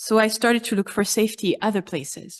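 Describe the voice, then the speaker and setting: Against a quiet background, a woman with a French accent talks at a moderate pace in a fairly high pitch. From France. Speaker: congregation member. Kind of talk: personal testimony.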